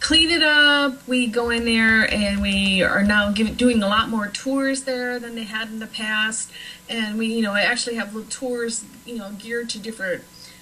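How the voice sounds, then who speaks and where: A woman with an American accent speaks at a moderate pace and a fairly high pitch with fairly even intonation. Audible room echo and noticeable background noise surround her voice. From Nebraska, US Midwest. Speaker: paranormal author and cemetery tour guide. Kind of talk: talk show interview.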